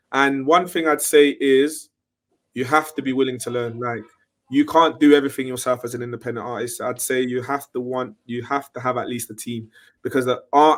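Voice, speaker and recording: At a moderate pace, a man speaks with medium pitch and fairly even intonation. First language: French. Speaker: independent music artist. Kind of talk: interview.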